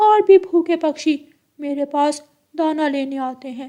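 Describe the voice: The cartoonish character voice delivers its lines at a fairly slow pace.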